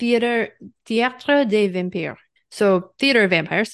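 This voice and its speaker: A woman speaks at a moderate pace with ordinary pitch variation against a quiet background. Hers is a plain, everyday voice. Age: 30s. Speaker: podcast co-host. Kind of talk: casual chat.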